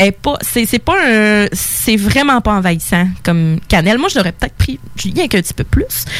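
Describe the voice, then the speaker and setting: Over noticeable background noise, a woman with a Quebec accent speaks fairly slowly with lively intonation and very even loudness. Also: medium pitch for a woman. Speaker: radio co-host and beer columnist. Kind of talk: casual chat.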